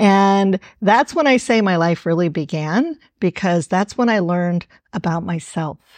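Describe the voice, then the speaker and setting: Against a quiet background with a dry, close sound and no echo, a woman with a plain, everyday voice and medium pitch speaks at a fairly slow pace with lively intonation. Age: 60s. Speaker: author and filmmaker. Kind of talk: interview conversation.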